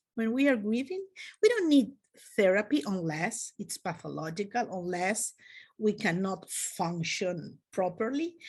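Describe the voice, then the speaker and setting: Against a quiet background, a somewhat breathy voice with a Spanish accent moves at a fairly slow pace with lively intonation. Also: woman, medium pitch for a woman. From Spain. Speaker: clinical psychology professor. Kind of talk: lecture. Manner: halting, many fillers.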